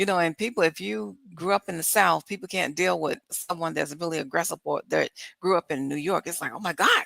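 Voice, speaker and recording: With hardly any pauses, a woman talks at a fairly quick pace in a bright, sharp tone with vocal fry, the sound dry and close with no echo on a very clean recording with a silent background. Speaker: podcast guest, podcaster. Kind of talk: casual chat. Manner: high energy.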